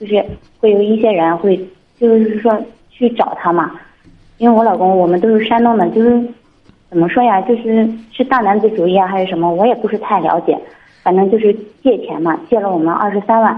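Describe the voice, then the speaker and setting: This woman speaks at a medium pitch with ordinary pitch variation. Her pace is fairly quick, broken by long, frequent pauses. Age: 30s. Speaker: caller seeking advice. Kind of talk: phone-in advice call.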